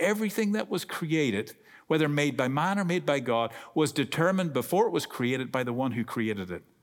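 The voice carries an Irish accent and very wide pitch swings. The recording is very clean, with a silent background. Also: man. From Ireland. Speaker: guest preacher. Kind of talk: sermon. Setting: church. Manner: humorous, talkative.

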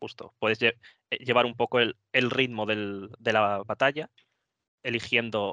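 On a dry, close recording with no echo and a quiet background, a man talks at a moderate pace at a medium pitch, his tone bright and sharp and his intonation fairly even. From Spain, Madrid (Móstoles). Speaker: wargames tournament player. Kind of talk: casual chat.

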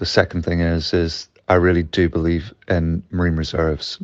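At a moderate pace, a man speaks in a very deep, low pitch. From West Coast of Scotland. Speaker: underwater cameraman. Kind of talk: interview. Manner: hesitant, filler-heavy.

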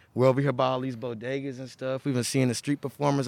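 A man with an American accent talks at a medium pitch, the sound dry and close with no echo. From Houston, Texas (Third Ward). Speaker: rapper. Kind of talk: casual chat.

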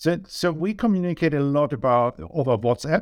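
A man with a German accent talks at a moderate pace with ordinary pitch variation. The recording is very clean with a silent background and a dry, close sound with no echo. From Germany. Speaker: business owner, data consultant. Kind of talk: interview. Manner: halting.

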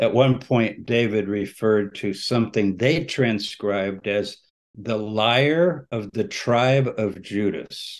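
A man with an American accent talks at a very slow pace, using a medium pitch and ordinary pitch variation. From Texas. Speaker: religious studies scholar. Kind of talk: interview. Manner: conversational, with frequent fillers.

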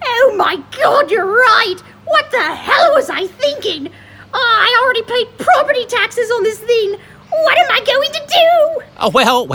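In a put-on character voice, a female-sounding voice speaks at an extremely high pitch and a fairly slow pace. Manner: grandiose, theatrical.

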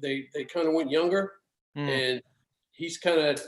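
With an American accent, this speaker's words come out fairly quickly. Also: man. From Alexandria, Virginia, US. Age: 40s. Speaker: podcast guest, sports fan and dad. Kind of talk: casual chat, storytelling. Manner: animated, humorous.

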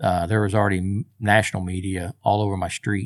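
A man with an unremarkable speaking voice and an American accent talks at a moderate pace and a fairly low pitch. The recording is very clean, with a silent background and a dry, close sound with no echo. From Oklahoma, US. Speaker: retired firefighter. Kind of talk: interview testimony. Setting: studio.

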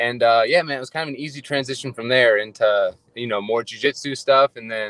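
A man with an American accent and an ordinary speaking voice talks at medium pitch and a fairly quick pace, with hardly any pauses, fairly even intonation and big swings in loudness, in a dry, close sound with no echo. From Ohio. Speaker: MMA fighter, Air Force member. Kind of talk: casual interview.

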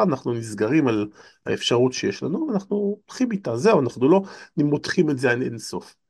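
The voice keeps a moderate pace while its pitch swings very widely. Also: man. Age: 50s. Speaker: lecturer and author. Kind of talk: casual chat.

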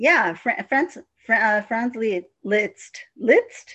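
A woman speaks at a very slow pace. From Mexico or Mexican-American. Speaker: film writer. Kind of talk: casual chat about films.

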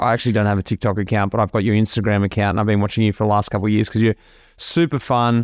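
The sound is dry and close, with no echo. A man speaks with an Australian accent. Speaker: podcast host, former pro cyclist. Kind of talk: casual interview chat.

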